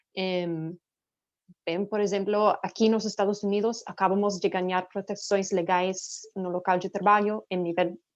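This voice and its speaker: Against a quiet background, a woman with a non-native accent speaks at a medium pitch in a monotone, flat way. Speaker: nonprofit director. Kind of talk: panel talk. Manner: halting.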